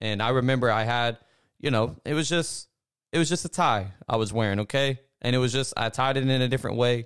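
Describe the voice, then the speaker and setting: In a normal speaking voice, a man with an American accent talks at a fairly quick pace and medium pitch. His intonation is fairly even, and the recording is very clean with a silent background. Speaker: co-host, church member. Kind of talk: casual religious discussion.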